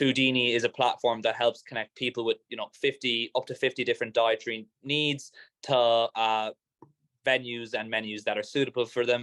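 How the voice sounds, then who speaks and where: The speech moves at a fairly quick pace. The sound is dry and close, with no echo. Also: man. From Ireland. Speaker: startup founder. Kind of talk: talk to a live or online event audience. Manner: casual, hesitant with fillers and repeats.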